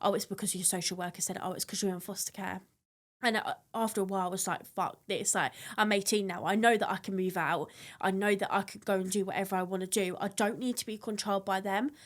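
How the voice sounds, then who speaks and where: A woman with an English accent speaks very fast at medium pitch in a monotone, flat delivery, on a very clean recording with a silent background. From England, Blackpool and Kent. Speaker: foster care survivor. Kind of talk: testimony.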